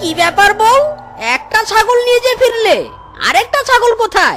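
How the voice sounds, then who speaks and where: At a moderate pace, a cartoonish character voice at an extremely high pitch is heard over faint music in the background. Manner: prim, lecturing.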